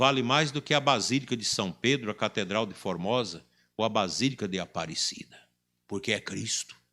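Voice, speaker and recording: Bright and sharp in tone, a man speaks at a fairly low pitch with lively intonation. His moderate pace comes through on a very clean recording with a silent background. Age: 60s. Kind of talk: sermon.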